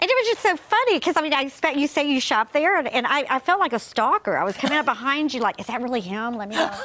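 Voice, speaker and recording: A woman with a Southern accent talks at a very fast pace with hardly any pauses, her high pitch swinging very widely. Noticeable background noise can be heard. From US South, Alabama. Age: middle-aged. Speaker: guest co-host. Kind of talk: casual chat.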